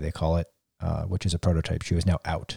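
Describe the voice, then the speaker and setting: The man's voice is dark and mellow in tone, recorded dry and close with no echo. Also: very clean recording, silent background. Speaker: running podcast host. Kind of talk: casual chat.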